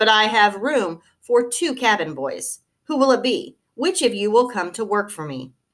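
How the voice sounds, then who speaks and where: A woman puts on a character voice, pitched fairly high and swinging very widely up and down. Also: moderate pace. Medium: read story.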